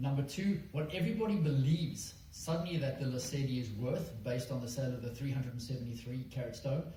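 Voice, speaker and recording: A man races along at a very fast pace with hardly any pauses, his medium pitch showing ordinary variation. The room echo is audible, and background noise is noticeable. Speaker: mining company executive. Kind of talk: investor presentation. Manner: hesitant, many fillers.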